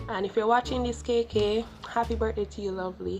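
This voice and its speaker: A woman speaks with a Jamaican accent. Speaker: YouTuber. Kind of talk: vlog.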